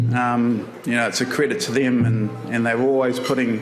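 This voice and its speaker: A man with a New Zealand accent talks at a moderate pace. Music plays in the background, and room echo is audible. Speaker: photographer, award winner. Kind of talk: acceptance speech. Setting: stage with audience. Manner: halting, many fillers.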